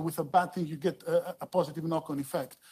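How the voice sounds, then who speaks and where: Someone with a Greek accent speaks at a very fast pace. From Greece. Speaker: dental public health expert. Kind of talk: conference talk. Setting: conference panel. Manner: halting.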